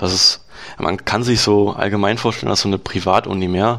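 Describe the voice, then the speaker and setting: A man with a fairly low pitch talks fairly quickly. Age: 20s. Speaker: software developer and dual-study student. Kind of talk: interview. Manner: hesitant, many fillers.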